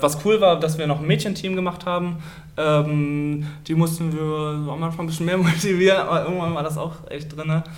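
With audible room echo around him, a man talks at a fairly high pitch with monotone, flat intonation. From northern Germany, district of Stade. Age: 20s. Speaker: handball goalkeeper. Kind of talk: casual interview. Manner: hesitant, many fillers.

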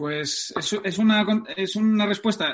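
A man talks with ordinary pitch variation. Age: 30s. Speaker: football fitness coach. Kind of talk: interview.

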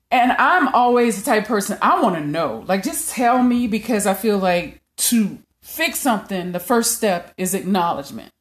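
The speaker moves at a moderate pace with hardly any pauses, lively intonation and very even loudness, sounding somewhat breathy. The recording is very clean, with a silent background. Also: woman, fairly high pitch for a woman. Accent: Louisiana. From Louisiana. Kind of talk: casual chat.

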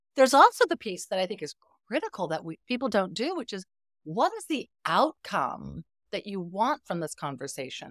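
A woman's medium-pitched voice with vocal fry and very wide pitch swings, at a moderate pace, in a dry, close sound with no echo. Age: 50s. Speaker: psychotherapist and relationship coach. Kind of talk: casual interview chat.

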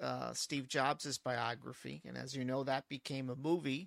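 Recorded very cleanly against a silent background, a man with a normal speaking voice talks at a fairly slow pace and medium pitch. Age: 50s. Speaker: tech podcast host. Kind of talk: casual chat.

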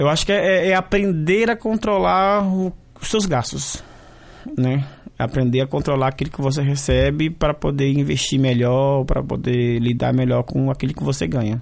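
A man talks in a plain, everyday voice at a moderate pace. His pitch is fairly high and his intonation lively. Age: 30s. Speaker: graduate student. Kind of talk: vox pop interview.

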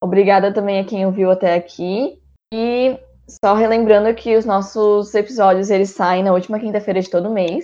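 At a moderate pace, a woman speaks with a medium pitch, a dark, mellow tone and fairly even intonation. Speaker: student podcast host. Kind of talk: interview.

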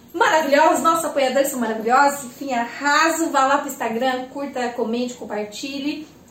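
Amid noticeable background noise and audible room echo, a woman talks at a fairly quick pace in a high pitch with hardly any pauses. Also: ordinary pitch variation. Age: 20s. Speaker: podcast host. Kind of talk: casual chat. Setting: at home. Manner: animated.

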